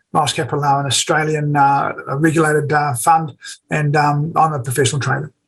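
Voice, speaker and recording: A man talks at a very fast pace in a New Zealand accent. His fairly high voice stays monotone and flat. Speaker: forex trader and educator. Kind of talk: webinar presentation.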